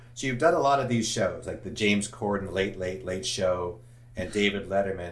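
This man's voice has a somewhat breathy quality. He keeps to a moderate tempo. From Los Angeles, US. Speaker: podcast host. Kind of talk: casual interview.

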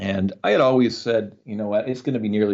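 A man with a fairly low pitch and an Ontario accent, at a very fast pace. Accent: Canadian (Ontario). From Canada, rural Ontario. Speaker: comedy juggler. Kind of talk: interview.

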